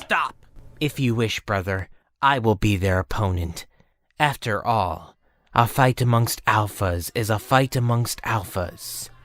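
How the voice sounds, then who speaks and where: A man puts on a character voice at medium pitch, speaking at a fairly slow pace on a very clean recording with a silent background. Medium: audio drama.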